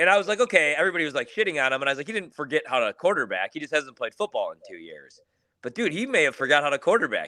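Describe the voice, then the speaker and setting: Recorded dry and close with no echo, a man with a fairly high pitch, a bright, sharp tone and vocal fry makes very wide pitch swings. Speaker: sports betting pundit. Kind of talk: casual chat. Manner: fast; animated.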